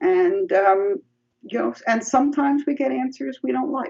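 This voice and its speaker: A woman with a New York accent talks at a moderate pace. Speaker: psychology professor. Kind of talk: interview.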